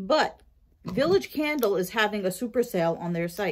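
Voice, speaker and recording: In a quiet setting, a woman talks at a fairly slow pace. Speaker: vlogger. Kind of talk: casual haul vlog chat. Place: kitchen. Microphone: phone near.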